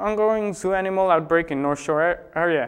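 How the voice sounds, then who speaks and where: Speaking at a fairly quick pace against a quiet background, a man uses a high pitch with ordinary pitch variation. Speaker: spoof news anchor. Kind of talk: mock news broadcast, satirical anchor delivery.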